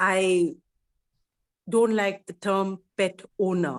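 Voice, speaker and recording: The sound is dry and close with no echo. Pitch variation is ordinary. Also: woman. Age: 60s. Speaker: animal communication speaker. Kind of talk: casual talk.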